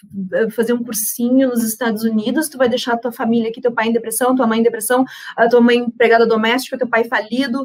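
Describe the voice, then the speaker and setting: Talking fairly quickly in a normal speaking voice, a woman keeps a fairly high pitch. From southern Brazil, Rio Grande do Sul (Uruguaiana). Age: 30s. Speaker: panel speaker on women and investing. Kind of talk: personal testimony in a panel talk. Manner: casual, with frequent fillers and repetitions.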